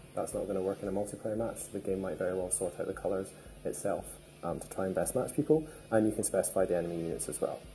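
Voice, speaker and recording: Somewhat breathy and dark, mellow in tone, a man with a Scottish accent speaks very fast with ordinary pitch variation. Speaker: game studio creative director and founder. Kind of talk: gameplay tutorial. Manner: hesitant, many fillers.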